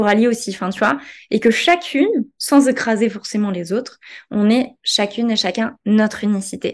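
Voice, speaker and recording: Over a quiet background, a woman talks at a moderate pace with a fairly high pitch and ordinary pitch variation. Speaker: digital marketing entrepreneur. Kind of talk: interview conversation.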